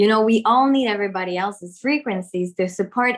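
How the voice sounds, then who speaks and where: A woman with a French accent speaks in a fairly high voice with ordinary pitch variation. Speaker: spiritual content creator. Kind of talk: casual conversation. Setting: video call.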